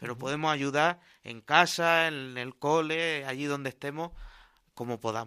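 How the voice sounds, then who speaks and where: A man talks at a moderate pace with fairly even intonation. His fairly high voice has a bright, sharp tone on a very clean recording with a silent background. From Cartagena, Spain. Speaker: missionary priest. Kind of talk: radio interview.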